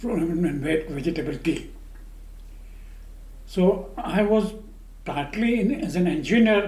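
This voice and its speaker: Speaking at a high pitch with lively intonation, a man goes at a fairly slow pace with long, frequent pauses. Noticeable background noise sits behind him. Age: 80s+. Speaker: retired chemical engineer. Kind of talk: oral history interview answer. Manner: slow, hesitant.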